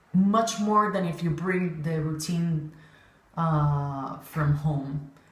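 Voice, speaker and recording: Amid noticeable background noise, a woman with a fairly low pitch speaks at a very slow pace. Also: ordinary pitch variation. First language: not English. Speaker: synchronized swimming coach. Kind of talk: casual talk to camera. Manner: hesitant, many fillers.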